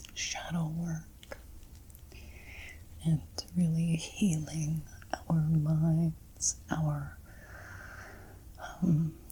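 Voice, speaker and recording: A woman's voice over noticeable background noise. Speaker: intuitive card reader. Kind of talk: ASMR card reading. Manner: soft-spoken.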